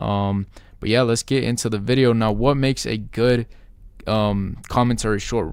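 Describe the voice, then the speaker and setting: A man speaks with an energetic tone at a fairly quick pace. His pitch sits in the medium range. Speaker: YouTube creator. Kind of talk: tutorial. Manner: fast; casual, energetic.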